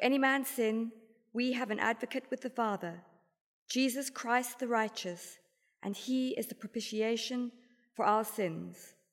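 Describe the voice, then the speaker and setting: In a plain, everyday voice, a woman talks at a fairly slow pace with fairly high pitch and fairly even intonation, captured on a very clean recording against a silent background. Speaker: liturgical reader. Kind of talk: scripture reading and liturgical responses.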